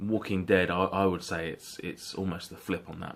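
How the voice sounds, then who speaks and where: Speaking with a British accent at a moderate pace, a man has a very deep, low pitch. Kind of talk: casual talk to camera.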